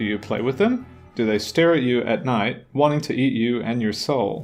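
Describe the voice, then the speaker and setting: Over background music, a man talks at a moderate pace with a medium pitch and ordinary pitch variation. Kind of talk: casual letter reading to camera.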